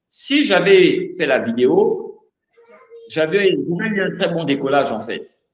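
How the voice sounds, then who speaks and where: Lively intonation with audible room echo. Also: man. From Gabon, Libreville. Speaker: rapper. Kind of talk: interview. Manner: halting, repeats words.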